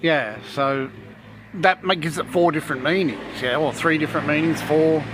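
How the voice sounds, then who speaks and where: With noticeable background noise, a man in an Australian accent speaks at a moderate pace and a fairly high pitch, with ordinary pitch variation. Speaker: vlogger. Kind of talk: casual chat. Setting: restaurant.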